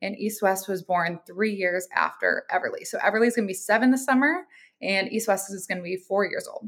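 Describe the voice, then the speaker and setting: Very cleanly recorded over a silent background, a woman with a plain, everyday voice talks at a fairly quick pace and medium pitch, with ordinary pitch variation. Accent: American. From US Midwest, Minneapolis, Minnesota. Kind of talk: interview.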